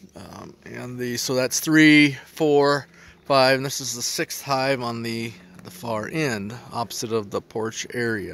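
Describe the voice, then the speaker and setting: A man talks at a very slow pace, his loudness swinging widely. His pitch varies normally, and the sound is dry with no echo. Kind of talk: casual walkthrough narration. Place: garden. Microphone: phone near.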